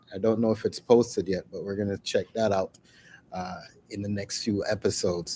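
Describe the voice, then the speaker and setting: A man's fairly low, dark and mellow voice comes through dry and close with no echo. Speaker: business channel host. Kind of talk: live stream talk. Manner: deliberate, not fast.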